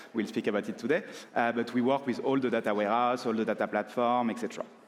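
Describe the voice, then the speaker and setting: A man at medium pitch with a French accent, very fast, with fairly even intonation and very even loudness. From France. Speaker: consulting firm partner, conference speaker. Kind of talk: conference talk. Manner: filler-heavy with frequent uh.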